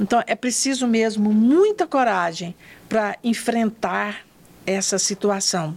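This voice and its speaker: Speaking at a very slow pace, a woman with a fairly high pitch keeps her loudness very even and her pitch variation ordinary. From northern Goiás, Brazil, rural. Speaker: psychologist and hospital volunteer. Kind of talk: interview storytelling. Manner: formal.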